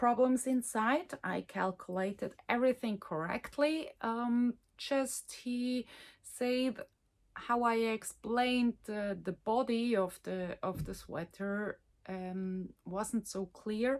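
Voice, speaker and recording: A woman speaks with a Swiss German accent at a very slow pace. Her pitch is fairly high, with ordinary pitch variation. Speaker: knitting podcaster and designer. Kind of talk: casual chat. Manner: halting, many fillers.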